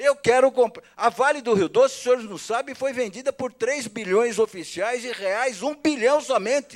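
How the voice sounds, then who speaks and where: An extremely high-pitched man speaks in an animated tone at a moderate pace. The recording is very clean with a silent background and a dry, close sound with no echo. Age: 60s. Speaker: politician. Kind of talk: public hearing speech.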